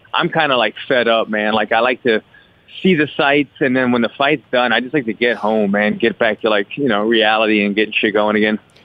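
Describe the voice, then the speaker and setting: A man talks in a normal speaking voice at a medium pitch, moving at a fairly quick pace with very even loudness and ordinary pitch variation. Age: 30s. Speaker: fighter. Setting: phone call.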